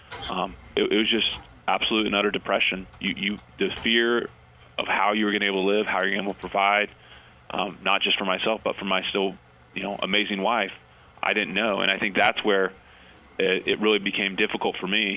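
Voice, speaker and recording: A man with an American accent speaks fairly quickly at a fairly low pitch. His intonation is monotone and flat, with noticeable background noise behind him. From US Pacific Northwest, Pasco, Washington. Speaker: army officer, inspirational speaker. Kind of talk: radio interview. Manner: halting.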